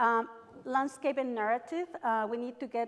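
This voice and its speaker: A woman in a Mexican accent, at a moderate pace with fairly even intonation. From Mexico. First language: Spanish. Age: 40s. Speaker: real estate agent, association president. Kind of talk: speech at a conference. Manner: passionate.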